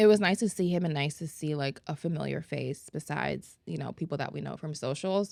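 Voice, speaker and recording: A woman talks at a fairly quick pace with hardly any pauses on a very clean recording with a silent background. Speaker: esthetician educator and podcast co-host. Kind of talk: casual chat.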